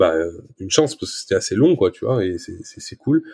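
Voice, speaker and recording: A very clean recording of a man, silent background behind him. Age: 20s. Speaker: social media creator and father. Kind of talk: casual interview. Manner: halting, repeats words.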